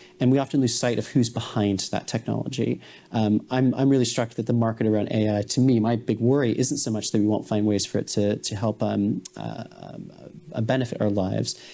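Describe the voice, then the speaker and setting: This man's medium-pitched voice has a dark, mellow tone. He talks at a fairly quick pace with fairly even intonation. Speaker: AI policy researcher. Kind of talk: panel discussion.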